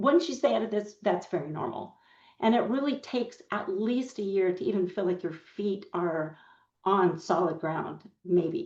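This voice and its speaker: Here is a woman with a plain, everyday voice at medium pitch. She keeps a moderate pace and lively intonation. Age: 60s. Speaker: paralegal. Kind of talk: podcast interview.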